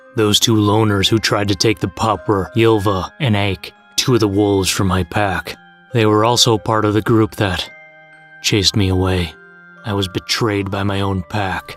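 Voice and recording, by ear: A cartoonish character voice moves along at a moderate pace. Clear music plays in the background. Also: man, fairly low pitch for a man.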